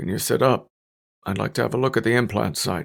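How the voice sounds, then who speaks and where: In a put-on character voice, a man speaks quietly and raspily at a fairly low pitch, with a calm tone, a fairly quick pace and ordinary pitch variation. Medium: read story. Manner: quiet, calm, clinical.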